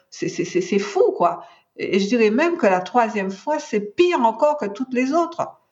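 A woman's fairly high voice at a fairly slow pace, with very wide pitch swings. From Martinique. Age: 60s. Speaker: cancer patient, patient advocate. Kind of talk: testimony. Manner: halting, frequent repetitions.

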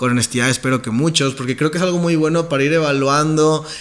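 Noticeable background noise fills the recording. Through it, a man talks with fairly even intonation. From Mexico, Nuevo León. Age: 20s. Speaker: podcast host, network marketing entrepreneur. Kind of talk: self-interview podcast monologue.

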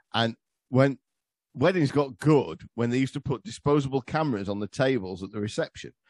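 This man talks at a fairly quick pace with medium pitch, lively intonation and vocal fry, in a dry, close sound with no echo. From England. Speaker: history podcaster. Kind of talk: casual chat.

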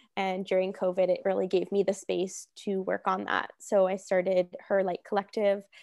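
In a Canadian accent, a woman speaks at a moderate pace and medium pitch with monotone, flat intonation, hardly any pauses, and a dry, close sound with no echo. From Hamilton, Ontario, Canada. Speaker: naturopathic doctor. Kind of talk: casual interview chat.

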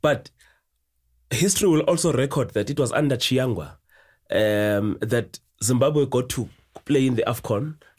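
A man with a medium-pitched, somewhat breathy voice speaks with lively intonation at a moderate pace. He leaves long, frequent pauses in a very clean recording with a silent background. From South Africa, East London. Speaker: football analyst. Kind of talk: casual chat.

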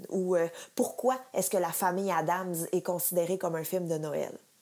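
On a very clean recording with a silent background, a woman speaks fairly slowly in a dark, mellow tone. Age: 30s. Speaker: pop culture columnist. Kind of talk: scripted chronicle. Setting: recorded at home.

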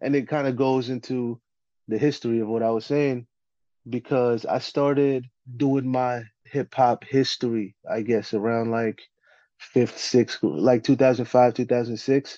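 Against a quiet background, a man with a New Jersey accent speaks at a fairly slow pace in a medium-pitched, dark and mellow voice with monotone, flat intonation, the sound dry and close with no echo. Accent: New Jersey American English. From US, New Jersey. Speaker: battle rapper. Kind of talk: casual chat.

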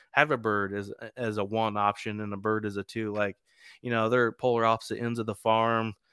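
A man speaks with a US Midwestern accent at a fairly quick pace, his intonation monotone and flat. His tone is bright and sharp, and the recording is very clean and dry, with a close sound, no echo and a silent background. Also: medium pitch for a man. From East Central Indiana. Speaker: hunting podcaster. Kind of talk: casual interview.

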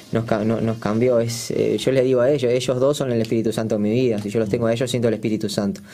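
The speech is very fast, with monotone, flat intonation. Noticeable background noise can be heard. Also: man, medium pitch for a man. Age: 20s. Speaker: singer. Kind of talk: casual chat.

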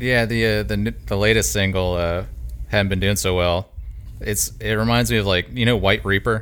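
Lively intonation colors an ordinary speaking voice that keeps a moderate pace. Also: man, fairly low pitch for a man. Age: 30s. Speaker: podcast host. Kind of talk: casual chat.

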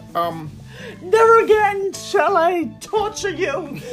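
Clear music in the background accompanies a put-on character voice at an extremely high pitch and a very slow pace. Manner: theatrical, threatening.

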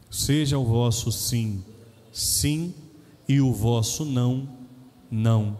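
A man with a Brazilian accent, dark and mellow in tone, somewhat breathy. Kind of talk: homily. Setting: church, Mass. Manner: animated, jokey; conversational, direct.

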